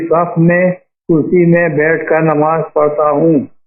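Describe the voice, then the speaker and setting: A man speaks with a fairly high pitch. His intonation is monotone and flat. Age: 80s+. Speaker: caller. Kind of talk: question to a religious advice show.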